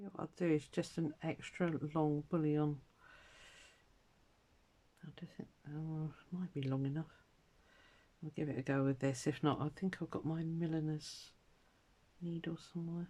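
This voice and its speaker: Using a put-on character voice, a woman mumbles at a moderate pace in a very deep, low register, with long, frequent pauses. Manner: mumbling to herself.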